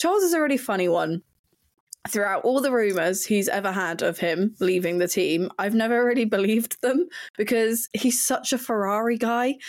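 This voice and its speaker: Speaking at a moderate pace with a southern English accent, a woman uses a fairly high pitch, lively intonation and very even loudness. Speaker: website editor and F1 pundit. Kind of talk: casual chat.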